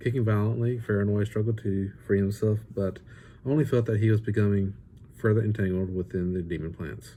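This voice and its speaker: Fairly quick, somewhat breathy speech from a man with a fairly low pitch, a dark, mellow tone and fairly even intonation. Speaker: author reading his own book. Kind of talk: fireside book reading of fantasy fiction. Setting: home or rustic natural environment, non-professional recording. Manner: narrative storytelling read, expressive.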